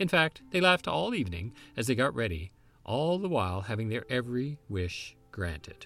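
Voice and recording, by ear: The clip has someone reading text aloud in a natural voice.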